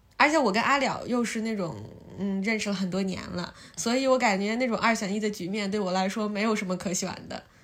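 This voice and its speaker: Speaking fairly quickly, a woman uses ordinary pitch variation. The room echo is audible. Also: medium pitch for a woman. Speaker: podcast host. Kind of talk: casual chat. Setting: at friend's home.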